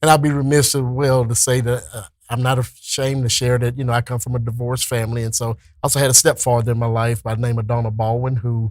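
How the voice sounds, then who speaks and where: A man with a Texan accent speaks at a very fast pace in a medium pitch. His intonation is monotone and flat, and his voice is somewhat breathy. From Texas, Dayton. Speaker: school administrator. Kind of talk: interview.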